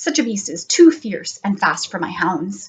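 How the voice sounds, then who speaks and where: A woman's put-on character voice at medium pitch, very wide pitch swings, and a moderate pace. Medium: read story. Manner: commanding.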